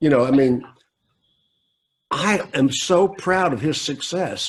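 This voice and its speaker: Speaking at a very slow pace, an American-accented man uses lively intonation. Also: fairly high pitch for a man. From US South. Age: 70s. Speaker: car dealer consultant. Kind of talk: interview.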